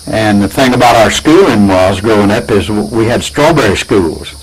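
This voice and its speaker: An American-accented man talks at a moderate pace and fairly low pitch. Noticeable background noise is present. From Florida. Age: 80s+. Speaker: pastor. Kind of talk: casual interview. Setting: at home. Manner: halting, repetitive.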